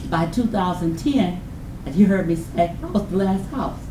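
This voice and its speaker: A woman with an American accent at a moderate pace and ordinary pitch variation, with noticeable background noise and audible room echo. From Detroit, Michigan (Delray). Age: 60s. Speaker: community resident speaker. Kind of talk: public testimony at community meeting. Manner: emotional, passionate.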